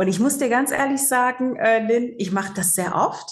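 The woman's voice is somewhat breathy. Her pitch varies in an ordinary way. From Germany, Cologne. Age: 40s. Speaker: psychological counselor. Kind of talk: interview.

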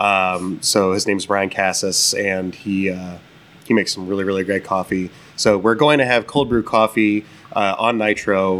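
This is an unremarkable speaking voice from a man with a fairly low pitch. He moves at a moderate pace with fairly even intonation. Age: 30s. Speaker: brewer and brewery co-owner. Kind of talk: casual chat. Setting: taproom of a brewery.

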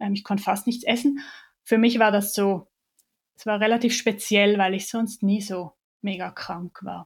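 A woman speaks in a medium pitch with fairly even intonation, somewhat breathy and leaving long, frequent pauses. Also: fairly slow pace. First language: Swiss German (speaking German). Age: 30s. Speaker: chronic pain patient sharing her story. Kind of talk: personal testimony in interview.

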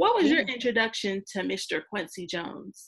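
A woman with a plain, everyday voice and a fairly high pitch talks at a moderate pace. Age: 30s. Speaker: podcast host. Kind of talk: casual chat.

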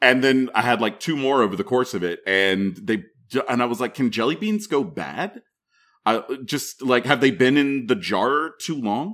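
A man talks at a moderate pace in a medium-pitched voice. His pitch swings very widely. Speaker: podcast host. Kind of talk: casual group chat, roundtable. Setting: video call.

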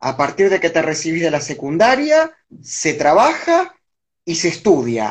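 Very wide pitch swings at a very slow pace. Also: man. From Argentina, Buenos Aires area (Avellaneda). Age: 30s. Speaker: political analyst. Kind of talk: interview.

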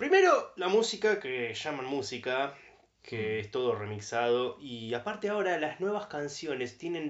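A man talks at a fairly slow pace with a Rioplatense accent. His fairly high voice makes very wide pitch swings. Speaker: podcast co-host. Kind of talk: casual chat.

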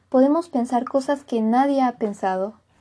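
A woman speaks with a Mexican accent. Her voice is high-pitched with a dark, mellow tone. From Mexico. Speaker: podcaster. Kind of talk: motivational monologue. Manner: casual.

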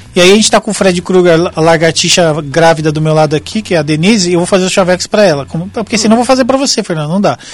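Against noticeable background noise, a man with a high pitch and ordinary pitch variation speaks at a very fast pace with hardly any pauses. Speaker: radio host. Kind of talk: casual chat.

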